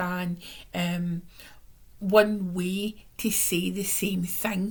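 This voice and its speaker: This woman talks in a monotone, flat delivery at medium pitch, sounding somewhat breathy. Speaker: tarot reader. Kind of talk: weekly tarot reading to camera. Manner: casual, warm, chatty.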